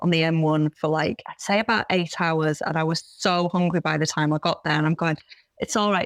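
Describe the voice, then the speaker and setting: With a Yorkshire accent and fairly even intonation, the speaker talks at a fairly quick pace in a very clean recording with a silent background, the sound dry and close with no echo. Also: woman. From Yorkshire, Bradford. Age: 40s. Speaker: vegan runner and content creator. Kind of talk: podcast interview.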